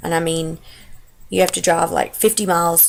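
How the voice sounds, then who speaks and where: A woman talks at a fairly quick pace in a Texas accent. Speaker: stay-at-home mom. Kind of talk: casual talk to camera.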